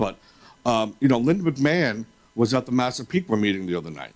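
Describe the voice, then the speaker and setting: Speaking with an American accent, a man delivers his words at a very fast pace. His medium pitch moves in a lively way. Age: 50s. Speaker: public commenter at school board meeting. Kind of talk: public comment.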